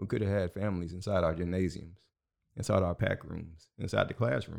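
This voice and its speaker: A fairly quick pace and fairly even intonation, with an American accent. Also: man, very clean recording, silent background. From Houston, Texas. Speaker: school board candidate. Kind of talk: casual interview.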